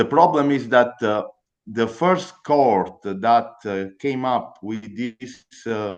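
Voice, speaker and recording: In an Italian accent, a man speaks at a very slow pace. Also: medium pitch for a man, ordinary pitch variation. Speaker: attorney. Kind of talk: legal explanation. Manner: halting.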